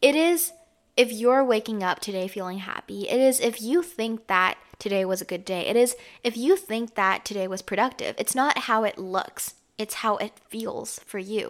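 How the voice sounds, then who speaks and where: In a very clean recording with a silent background, a woman with fairly high pitch and lively intonation speaks at a moderate pace. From Canada. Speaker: podcast host. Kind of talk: casual chat. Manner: casual, filler-heavy speech.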